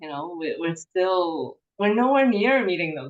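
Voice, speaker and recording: A woman with a Cantonese accent at a medium pitch, a moderate pace, and very wide pitch swings. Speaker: forest therapy presenter. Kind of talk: webinar Q&A.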